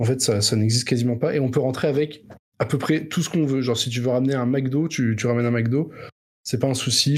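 Somewhat breathy, a man speaks at a fairly quick pace and a medium pitch. His pitch varies in an ordinary way. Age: 30s. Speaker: podcast co-host. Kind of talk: casual chat.

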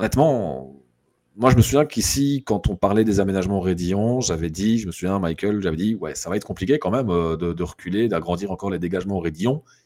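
In a very clean recording with a silent background, a man with a dark, mellow tone and fairly low pitch talks at a very fast pace. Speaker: motorsport guest. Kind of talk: casual chat.

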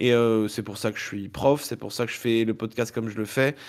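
A man talks at a fairly quick pace in a normal speaking voice with fairly even intonation. The recording is very clean and the background silent. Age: 30s. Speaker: podcaster. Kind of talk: casual chat.

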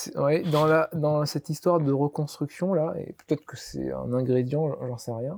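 A man with a plain, everyday voice speaks fairly slowly with hardly any pauses, using a fairly high pitch and fairly even intonation, in a dry, close sound with no echo. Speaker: olive oil producer. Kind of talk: interview.

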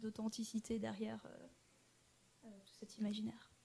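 A woman's fairly high voice at a moderate pace. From French Alps (Annecy). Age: 20s. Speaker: political science student and traveler. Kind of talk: interview. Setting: studio.

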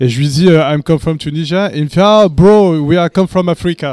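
His pitch high with ordinary variation, the man talks at a moderate pace in a dry, close sound with no echo. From France, Tunisian immigrant parents. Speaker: podcast panelist. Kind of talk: casual chat.

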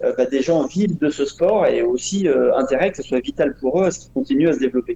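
This man's voice has a dark, mellow tone and a fairly high pitch. He talks at a very fast pace. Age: 40s. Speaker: roller speed skating champion and coach. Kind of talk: interview.

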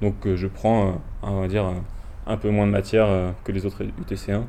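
In a fairly low pitch, a man speaks with a dark, mellow tone and monotone, flat intonation. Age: 20s. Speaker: student rower. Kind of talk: interview. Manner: halting.

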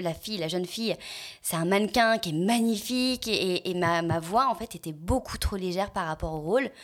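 The speaker is a woman at a medium pitch. Her pace is moderate and her pitch variation ordinary. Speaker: voice actress and singer. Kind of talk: casual chat.

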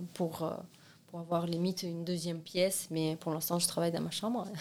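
Speaking in a monotone, flat intonation, a woman holds a fairly low pitch. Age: 20s. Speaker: seamstress and art student. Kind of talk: casual interview.

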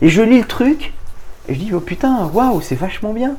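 A man speaks at a fairly quick pace. Noticeable noise sits in the background. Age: 40s. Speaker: business executive. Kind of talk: interview.

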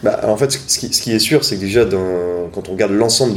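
Fairly even in intonation, a man moves at a fairly quick pace over noticeable background noise. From Brittany, France. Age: 20s. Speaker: youth political organizer. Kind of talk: interview. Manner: hesitant, many fillers.

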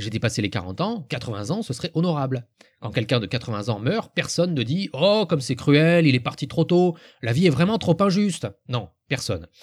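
On a very clean recording with a silent background, a man speaks at a moderate pace in a fairly high pitch, somewhat breathy and with very wide pitch swings. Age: 40s. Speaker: podcaster. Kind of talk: scripted monologue.

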